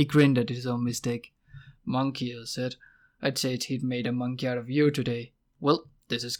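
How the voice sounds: It is a natural reading voice, heard against a quiet background.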